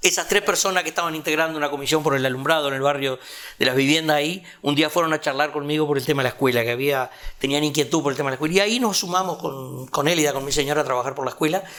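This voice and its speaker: Fairly high in pitch with ordinary variation, a man talks at a very fast pace. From Uruguay, rural Canelones. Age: 70s. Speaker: retired community organizer. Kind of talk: interview testimony.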